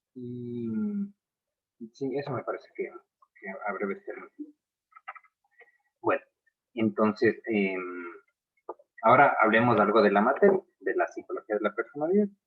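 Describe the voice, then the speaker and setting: The loudness swings widely at a fairly slow pace. Long pauses come often. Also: man. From Ecuador. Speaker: psychology professor. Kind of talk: lecture. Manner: hesitant, many fillers.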